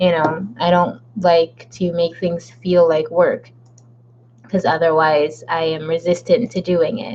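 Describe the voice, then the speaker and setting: Speaking at a fairly slow pace and fairly low pitch, a woman uses a plain, everyday voice. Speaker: author livestreaming a writing session. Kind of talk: casual livestream chat. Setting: livestream from home.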